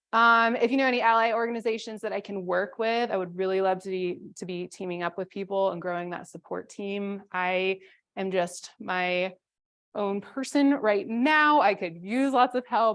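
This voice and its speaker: A woman talks at a moderate pace and medium pitch, with ordinary pitch variation. The background is quiet. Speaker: conference presenter, landscape designer. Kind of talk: conference presentation with Q&A.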